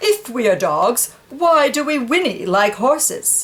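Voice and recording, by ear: A woman uses a high-pitched cartoonish character voice with big pitch swings, speaking slowly.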